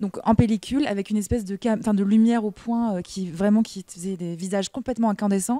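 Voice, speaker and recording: A woman speaks at a very fast pace in a medium pitch, her intonation fairly even and her tone dark and mellow. The sound is dry and close with no echo, on a very clean recording with a silent background. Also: hardly any pauses. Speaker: actress. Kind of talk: interview. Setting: film festival.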